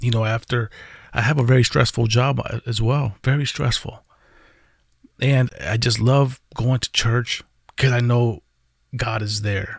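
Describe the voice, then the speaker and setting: A man speaks at a fairly slow pace with long, frequent pauses. His voice is medium-pitched and somewhat breathy, with fairly even intonation. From Puerto Rico. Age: 40s. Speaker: vlogger. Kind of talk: personal confessional vlog. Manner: halting, many fillers and repeated words.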